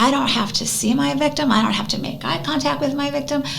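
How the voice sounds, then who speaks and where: There is audible room echo and noticeable background noise as a woman talks in an animated tone. She has an American accent. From US Midwest, Northwest Indiana. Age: 50s. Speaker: anti-bullying advocate. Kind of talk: radio interview.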